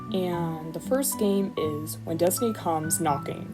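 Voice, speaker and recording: A woman with a fairly low-pitched voice talks while music plays behind her. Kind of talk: casual talk to camera. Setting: home recording, poor mic. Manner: fast.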